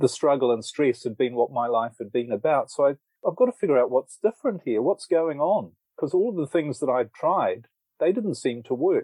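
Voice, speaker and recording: A man with a New Zealand accent speaks at a fairly quick pace, his fairly high voice carrying a dark, mellow tone. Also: dry, close sound with no echo. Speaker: author and relationship coach. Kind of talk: interview.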